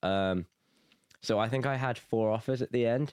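A man with an English Midlands accent, dry and close with no echo, on a very clean recording with a silent background. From England, Nuneaton (English Midlands). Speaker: university student. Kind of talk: casual interview chat.

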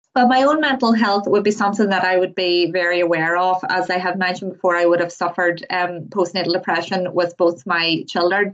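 A woman at a medium pitch speaks at a fairly quick pace with fairly even intonation. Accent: Northern Irish. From Northern Ireland, County Tyrone. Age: 30s. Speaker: student midwife. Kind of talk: interview.

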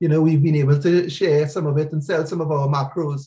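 A man is speaking. His pace is very fast. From Trinidad. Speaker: music producer. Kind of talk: casual chat.

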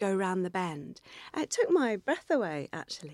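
A woman's medium-pitched voice in a southern English accent, dry and close with no echo, on a very clean recording with a silent background. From southern England, near Winchester. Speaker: poet and former environmental campaigner. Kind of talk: interview conversation.

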